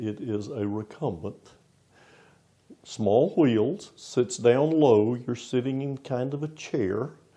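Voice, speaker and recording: A man with a medium-pitched voice, a dark, mellow tone and a Southern US accent speaks at a very slow pace with lively intonation. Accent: Southern US accent noticeable. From US South, Florida. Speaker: interim pastor. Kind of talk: interview.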